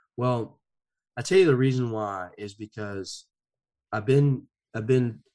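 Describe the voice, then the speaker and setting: An American accent from a man at medium pitch, fairly slow, with ordinary pitch variation. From US South, rural. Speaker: motivational speaker and men's counselor. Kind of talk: personal testimony in interview.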